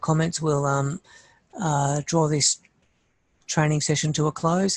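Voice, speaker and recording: A man speaks at a fairly high pitch with fairly even intonation and a moderate pace. The recording is very clean with a silent background and a dry, close sound with no echo. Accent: Australian. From Australia. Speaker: site planning trainer. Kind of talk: workshop training session. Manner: halting, many fillers.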